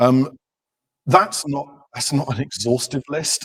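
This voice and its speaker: A man speaks at a moderate pace in a somewhat breathy voice. The sound is dry and close, with no echo. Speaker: technical product manager giving a conference talk. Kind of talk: conference presentation. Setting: stage with audience.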